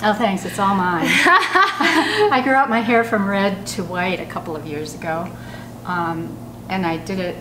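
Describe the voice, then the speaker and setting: A woman at a medium pitch and a fairly slow pace with lively intonation, amid noticeable background noise and audible room echo. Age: 70s. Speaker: style blogger. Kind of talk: casual chat.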